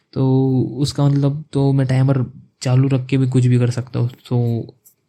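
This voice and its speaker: A man's dark, mellow, somewhat breathy voice with monotone, flat intonation. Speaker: student vlogger. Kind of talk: casual vlog talk. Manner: conversational, with self-corrections.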